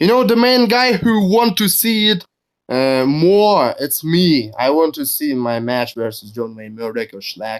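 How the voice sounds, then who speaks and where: A man with a strong Russian accent talks at a fairly slow pace, his fairly high pitch making very wide swings. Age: 20s. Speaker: deathmatch wrestler. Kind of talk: casual interview. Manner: halting.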